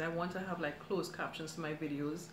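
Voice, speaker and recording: In a room with audible echo and noticeable background noise, a woman talks at a fairly quick pace with a fairly low pitch. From Trinidad. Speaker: cooking YouTuber. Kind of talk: live stream chat. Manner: fast; chatty.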